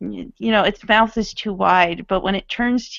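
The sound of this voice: An unforced reading voice, its pitch varying an ordinary amount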